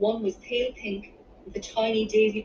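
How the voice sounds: What you hear is a natural reading voice.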